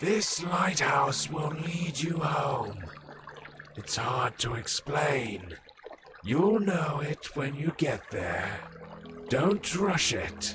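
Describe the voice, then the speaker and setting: A man puts on a character voice with a fairly high pitch and lively intonation. He speaks at a very slow pace with long, frequent pauses over clear music in the background. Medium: video game. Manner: calm, unhurried, cryptic.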